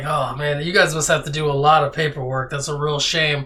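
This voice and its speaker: A raspy, put-on character voice sits at a low-to-middle pitch. It moves at a fairly quick pace with monotone, flat intonation. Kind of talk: casual barroom banter. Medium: actual play. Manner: chatty, teasing.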